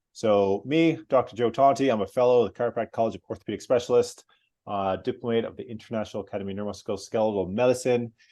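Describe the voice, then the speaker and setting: Against a quiet background, a man with a dark, mellow tone and medium pitch talks at a very fast pace. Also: ordinary pitch variation. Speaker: chiropractor. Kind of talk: presentation.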